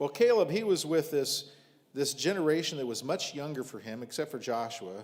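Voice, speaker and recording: A man with an American accent speaks in a normal speaking voice at a moderate pace, his fairly high pitch carried by lively intonation. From US Midwest, rural southern Ohio. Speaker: visiting preacher. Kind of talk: sermon.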